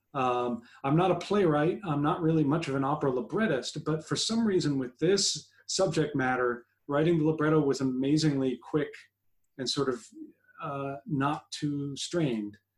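A somewhat breathy male voice at a fairly high pitch, with ordinary pitch variation and a moderate pace. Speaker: composer guest. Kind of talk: casual interview. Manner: hesitant, many fillers.

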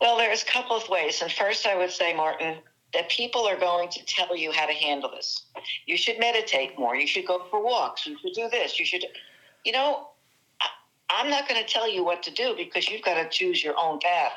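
A woman with a New Jersey accent, bright, sharp tone, very wide pitch swings and a fairly quick pace. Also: medium pitch for a woman. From New Jersey, US (Italian-American community). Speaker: success coach. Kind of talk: interview.

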